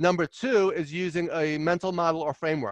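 A man with a New York accent talks at a fairly quick pace in a fairly high voice. His intonation stays fairly even, and the sound is dry and close, with no echo. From New York (Queens, Long Island). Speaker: leadership consultant and author. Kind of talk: interview. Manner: loud and fast.

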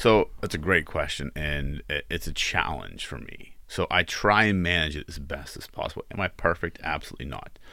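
This man has a very deep, low voice with a bright, sharp tone and ordinary pitch variation, speaking at a moderate pace with hardly any pauses. The recording is very clean, with a silent background. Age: 40s. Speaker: business owner. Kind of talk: casual chat. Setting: studio.

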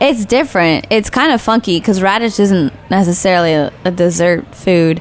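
A woman with an American accent and fairly low pitch, music in the background. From Nebraska. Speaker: pastry chef. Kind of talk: interview. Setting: studio.

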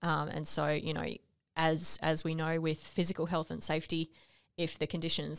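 In an Australian accent, a woman speaks with a very deep, low pitch, vocal fry and monotone, flat intonation at a moderate pace. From Western Australia. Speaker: podcast co-host. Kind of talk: casual conversational podcast discussion.

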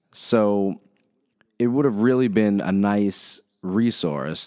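A man speaks with a very deep, low pitch. The recording is very clean and the background silent. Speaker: podcast host, designer. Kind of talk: interview.

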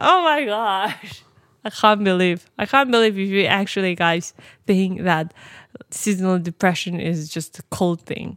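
A woman talks in a normal speaking voice at a medium pitch with ordinary pitch variation. Her fairly slow speech sits on a very clean recording with a silent background. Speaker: podcast co-host. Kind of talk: casual chat. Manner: laughs often.

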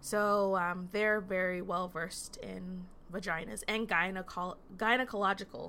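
In an unremarkable speaking voice, a woman talks at a medium pitch and a fairly slow pace, her intonation fairly even. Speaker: nurse midwife. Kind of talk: casual chat.

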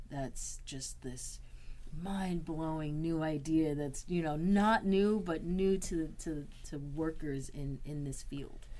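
A woman's very deep, low voice with an American accent, a dark, mellow tone, ordinary pitch variation and a very slow pace. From Boston, Massachusetts. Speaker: certified peer specialist supervisor, in recovery. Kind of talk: interview, personal testimony.

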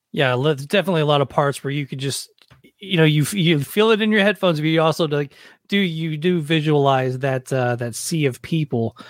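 A man with a plain, everyday voice, fairly high pitch, ordinary pitch variation, an American accent and a fairly quick pace. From US South, Nashville. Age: 40s. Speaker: podcast host, former touring musician. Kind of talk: casual chat and interview.

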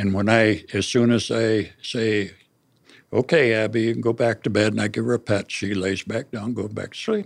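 A man's fairly low, flat, monotone voice with vocal fry and an American accent, at a moderate pace. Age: 70s. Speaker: family caregiver. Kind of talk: interview. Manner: halting.

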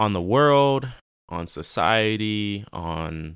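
The man's voice is fairly low, with ordinary pitch variation. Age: young. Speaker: podcast host. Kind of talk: casual monologue. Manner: halting, many filler words.

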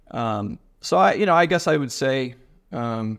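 A man speaks with an American accent at a medium pitch. The background is quiet. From US Midwest, Ohio. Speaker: web developer and bitcoiner. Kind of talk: testimony in casual interview.

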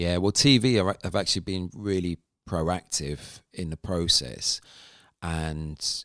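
Very deep and low, a man's voice carries a British accent. The recording is very clean with a silent background and a dry, close sound with no echo. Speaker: live sound engineer and app founder. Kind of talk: casual interview chat. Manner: halting, many fillers.

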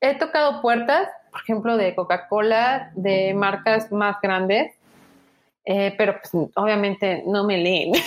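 Her pitch medium and its variation ordinary, a woman speaks at a very slow pace. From Mexico, Tuxtla Gutiérrez, Chiapas. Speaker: graphic designer and digital artist. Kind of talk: casual interview. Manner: hesitant with fillers.

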